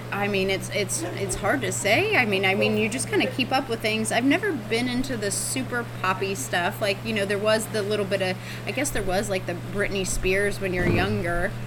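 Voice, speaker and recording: Someone with an American accent talks at a moderate pace with hardly any pauses. Noticeable background noise and audible room echo surround the voice. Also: woman. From Texas. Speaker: run club friend. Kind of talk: casual chat.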